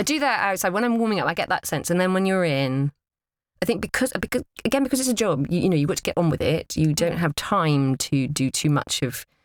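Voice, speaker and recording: In a dry, close sound with no echo, a woman speaks at a very fast pace with fairly low pitch, very wide pitch swings and very even loudness. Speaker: audiobook narrator and voice actor. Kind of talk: interview answer about the craft of narration. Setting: studio.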